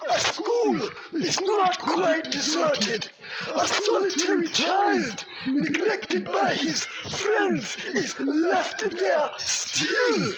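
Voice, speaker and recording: Against loud background noise, a man uses a put-on character voice at an extremely high pitch and a very slow pace. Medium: stage play. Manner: terse, solemn.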